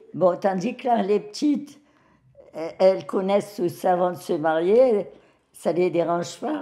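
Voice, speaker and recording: Music in the background behind a woman's fairly slow, medium-pitched speech. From Algeria (French Algiers). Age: 90s. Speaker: elderly woman sharing life story. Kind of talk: personal testimony interview. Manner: halting with hesitations.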